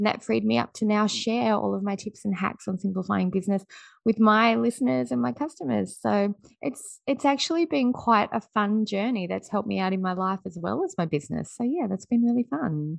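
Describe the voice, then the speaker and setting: A woman with an Australian accent, medium pitch and very wide pitch swings at a fairly quick pace, dry and close with no echo in a quiet background. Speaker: business strategist and podcast host. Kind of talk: interview. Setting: remote call.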